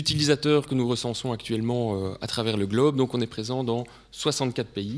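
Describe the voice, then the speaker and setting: With a Belgian accent, a man of medium pitch talks at a fairly quick pace with ordinary pitch variation. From Belgium. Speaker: sales representative presenting technology. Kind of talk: technical presentation to students. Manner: hesitant with frequent fillers.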